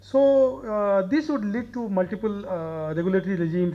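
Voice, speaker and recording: A man with a high-pitched voice and a dark, mellow tone speaks at a moderate pace with ordinary pitch variation. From India, Odisha. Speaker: member of parliament. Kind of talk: panel talk. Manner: halting, frequent fillers.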